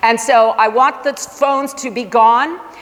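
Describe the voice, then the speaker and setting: Against noticeable background noise, a woman speaks in an American accent. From Michigan. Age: 60s. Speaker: science teacher. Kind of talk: parent information presentation. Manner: animated.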